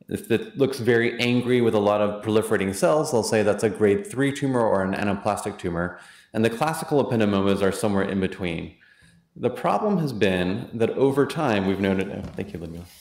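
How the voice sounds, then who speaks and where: A man's fairly low voice at a fairly quick pace, with ordinary pitch variation and audible room echo. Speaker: physician and immunotherapy program director. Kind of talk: lecture. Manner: fast.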